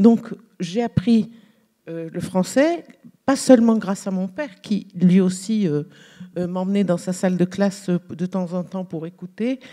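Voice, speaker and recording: Pausing long and often, a woman with an Arabic accent speaks at a fairly slow pace in a medium pitch with a dark, mellow tone. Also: ordinary pitch variation. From Algeria. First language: Arabic (speaking French). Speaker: novelist. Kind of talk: panel discussion. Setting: stage with audience. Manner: halting.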